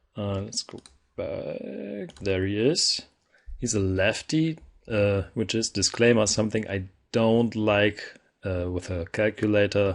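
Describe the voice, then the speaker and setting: Speaking slowly-ish with a non-native accent, a man keeps a fairly low pitch. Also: quiet background. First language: not English. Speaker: gaming video creator. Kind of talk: gameplay commentary. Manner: casual, with frequent fillers and self-corrections.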